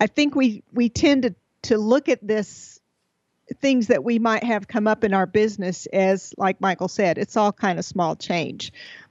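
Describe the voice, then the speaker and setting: A woman with an American accent speaks at a fairly slow pace in an unremarkable speaking voice, her fairly high pitch moving with ordinary variation and her loudness very even. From Texas. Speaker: entrepreneur and speaker. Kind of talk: interview.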